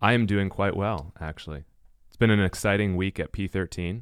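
A man's fairly low voice with fairly even intonation, dry and close with no echo, in a very clean recording with a silent background. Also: moderate pace. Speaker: podcast co-host.

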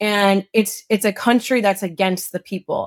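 In a plain, everyday voice of medium pitch, a woman with an American accent speaks at a moderate pace, the recording very clean with a silent background and a dry, close sound with no echo. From Illinois, small town outside Chicago. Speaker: former congressional candidate. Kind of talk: interview conversation.

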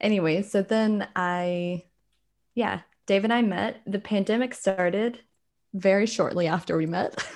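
At a fairly slow pace, a woman with an American accent speaks in a plain, everyday voice at a medium pitch. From rural South Carolina, US South. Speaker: American expat. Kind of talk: casual chat.

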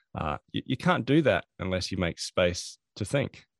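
A man's very deep, low voice with an Australian accent, at a moderate pace, dry and close with no echo. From Australia, Adelaide. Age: 40s. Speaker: productivity consultant and author. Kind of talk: interview. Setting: remote call.

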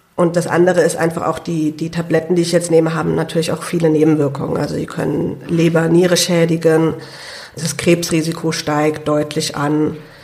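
Noticeable background noise runs under this recording. A woman speaks in a fairly low pitch with monotone, flat intonation. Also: moderate pace. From Germany, Hunsrück (Idar-Oberstein). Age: 20s. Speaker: lung transplant patient and student. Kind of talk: interview. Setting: studio.

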